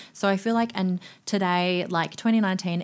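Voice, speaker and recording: In an Australian accent, a woman of medium pitch speaks at a moderate pace with fairly even intonation on a very clean recording with a silent background. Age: 20s. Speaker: nightclub promoter and DJ. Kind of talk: casual chat.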